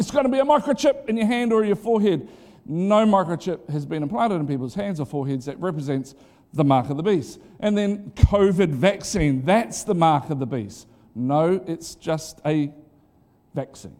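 A man speaks at a moderate pace with a dark, mellow tone and very wide pitch swings. The recording is very clean with a silent background. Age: 40s. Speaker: pastor. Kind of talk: sermon.

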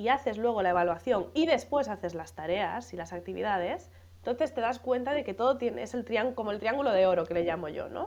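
A woman speaks at a moderate pace in a fairly high voice with vocal fry and lively intonation. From Galicia, Spain (A Coruña). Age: 30s. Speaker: scientist and teacher trainer. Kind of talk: casual interview.

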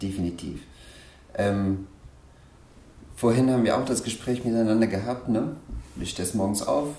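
A man speaks at a moderate pace and a medium pitch with ordinary pitch variation, leaving long, frequent pauses, with audible room echo around him. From Afghanistan. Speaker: hairdresser and salon owner. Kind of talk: interview, life story. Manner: hesitant, many fillers.

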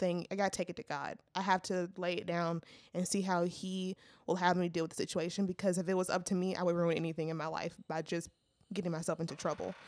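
In a normal speaking voice with an American accent, a woman talks at a fairly quick pace and medium pitch, her intonation fairly even, on a very clean recording with a silent background. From Louisiana, US South. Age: 20s. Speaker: recent college graduate, church intern. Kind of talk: casual chat. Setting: studio.

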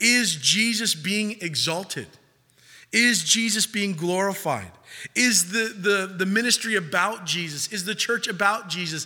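Speaking at a fairly slow pace in a raised, projected voice, a man with a high pitch and ordinary pitch variation sounds bright and sharp in a very clean recording with a silent background. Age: 30s. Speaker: pastor leading a young adult Bible study. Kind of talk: sermon. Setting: church.

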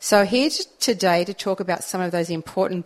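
A woman's fairly low voice with an Australian accent, at a fairly quick pace. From Australian countryside. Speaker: community radio co-host. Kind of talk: radio DJ patter, cheery station IDs and back-announcing. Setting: community radio studio. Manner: warm, bright and breezy, laid-back banter.

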